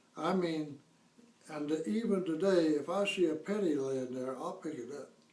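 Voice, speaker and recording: Over noticeable background noise and audible room echo, a man speaks at a fairly slow pace in a fairly high voice with ordinary pitch variation. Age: 70s. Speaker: fire victim homeowner. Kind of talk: interview.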